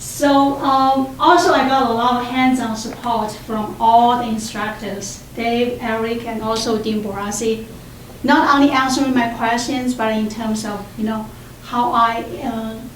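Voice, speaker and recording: In a Chinese accent, a woman speaks at a fairly slow pace with a fairly high pitch and fairly even intonation, amid audible room echo and noticeable background noise. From China. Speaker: doctoral student. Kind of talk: symposium talk. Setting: room with audience.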